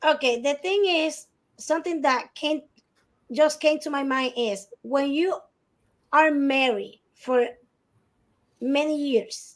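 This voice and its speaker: In a Spanish accent, a woman speaks at a very slow pace with a high pitch, ordinary pitch variation, and long, frequent pauses. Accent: non-native English, Spanish speaker. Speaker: divorce guest expert. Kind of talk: podcast discussion.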